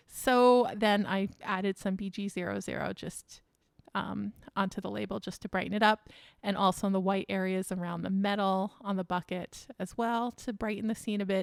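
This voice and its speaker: A woman speaks at medium pitch in a monotone, flat intonation. The recording is very clean with a silent background and a dry, close sound with no echo. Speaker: craft tutorial creator. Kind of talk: tutorial. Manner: fast.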